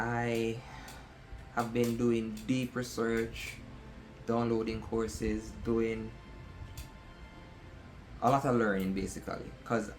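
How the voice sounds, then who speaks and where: A man with an American accent at a very slow pace, monotone and flat, with long, frequent pauses and music in the background. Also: medium pitch for a man. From outside the US. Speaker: aspiring affiliate marketer. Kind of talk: casual talk to camera.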